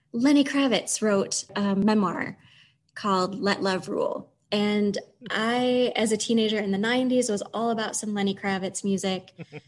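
Fairly even in intonation and fairly slow in pace, this is a normal speaking voice. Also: woman, medium pitch for a woman. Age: 40s. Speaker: library manager. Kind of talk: casual chat.

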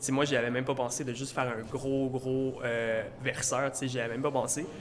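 A man's medium-pitched, monotone, flat voice at a fairly quick pace amid noticeable background noise. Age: 20s. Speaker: art student, muralist. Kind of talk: casual chat. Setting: coffee shop.

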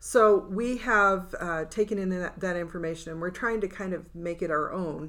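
A woman speaks at a moderate pace. She hardly pauses at all. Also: ordinary pitch variation. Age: 60s. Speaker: writers' podcast co-host. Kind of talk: casual chat. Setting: studio.

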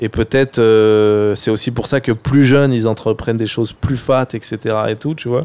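A man with a dark, mellow tone and medium pitch talks at a fairly slow pace with fairly even intonation on a very clean recording with a silent background. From France, Seine-Saint-Denis (93). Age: 30s. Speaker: film director and online creator. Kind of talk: casual interview chat.

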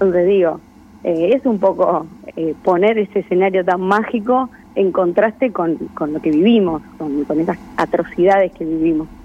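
A woman of medium pitch talks in a normal speaking voice, keeping a moderate pace and ordinary pitch variation. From Argentina, Buenos Aires province (Verónica). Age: 20s. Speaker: filmmaker. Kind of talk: radio interview.

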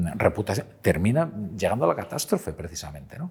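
Somewhat breathy and dark, mellow in tone, a man speaks very fast with lively intonation. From Galicia, Pontevedra. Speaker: journalist and columnist. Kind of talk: interview conversation.

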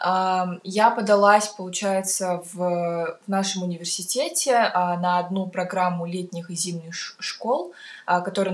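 A woman at a medium pitch, very slow, with ordinary pitch variation. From Kazakhstan, Almaty. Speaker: university student. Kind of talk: casual interview. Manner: halting, many fillers.

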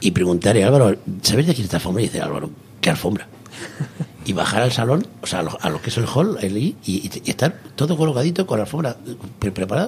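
A man at medium pitch rushes along at a very fast pace with very wide pitch swings over noticeable background noise. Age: 60s. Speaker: cigar box guitar builder. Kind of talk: radio interview.

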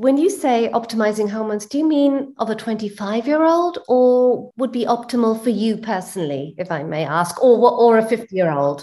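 A woman speaks at a moderate pace with hardly any pauses, her fairly high voice dark and mellow in tone. Her pitch swings very widely. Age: 50s. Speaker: audience member. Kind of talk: group Q&A.

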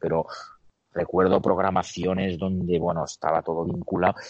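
Keeping his intonation fairly even, a man talks in a very deep, low pitch. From Spain, Barcelona (Catalonia). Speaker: basketball strength and conditioning coach. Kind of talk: interview.

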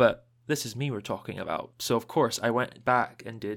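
A man speaks at a fairly quick pace in a plain, everyday voice with a medium pitch. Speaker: podcast host. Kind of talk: casual chat.

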